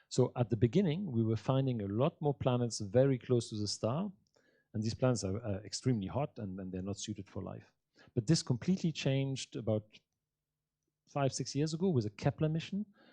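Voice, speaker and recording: With a dark, mellow tone, a man talks at a fairly quick pace and medium pitch, his lively intonation caught in a dry, close sound with no echo. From Alpine region. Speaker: astronomer and space agency scientist. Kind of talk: audience Q&A after public lecture.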